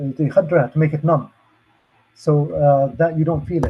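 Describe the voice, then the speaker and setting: A man with an Arabic accent speaks at a fairly high pitch. His voice is somewhat breathy, with fairly even intonation. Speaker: safety trainer and hazmat expert. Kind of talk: lecture. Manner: hesitant, many fillers.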